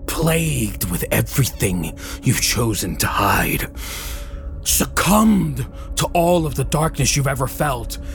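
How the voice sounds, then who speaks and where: Clear music plays in the background as a put-on character voice moves along at a fairly slow pace. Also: man. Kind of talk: dramatic fantasy roleplay. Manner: solemn, weary, fatalistic.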